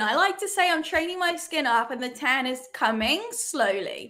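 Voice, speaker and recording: With a raised, projected voice, a woman speaks fairly slowly at a high pitch with very wide pitch swings. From England. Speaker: soccer show co-host. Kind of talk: casual chat.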